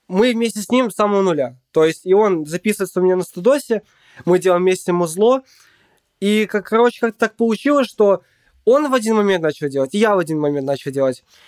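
Lively intonation runs through very fast speech recorded with a dry, close sound and no echo. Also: man, high pitch for a man. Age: 20s. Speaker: beatmaker and sound producer. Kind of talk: casual interview chat. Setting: home studio.

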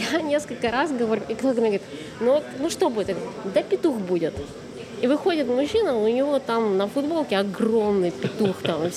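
A woman talks at a fairly quick pace with very wide pitch swings. Room echo is audible, and background noise is noticeable. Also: fairly high pitch for a woman. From Russia, Tyumen. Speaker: street photographer. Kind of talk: casual chat. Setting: cafe.

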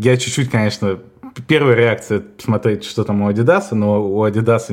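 A man with an unremarkable speaking voice talks with ordinary pitch variation. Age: 30s. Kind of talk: casual chat. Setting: call.

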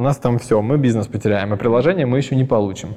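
Here a man talks at a very fast pace with ordinary pitch variation. His voice is medium in pitch, with a dark, mellow tone. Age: 30s. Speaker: entrepreneur. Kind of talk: interview.

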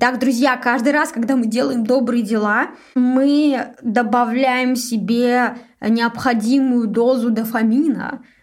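A woman with a high voice speaks at a very slow pace, her intonation fairly even and her loudness very even. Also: very clean recording, silent background. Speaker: podcast host, agency manager. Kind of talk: solo podcast monologue.

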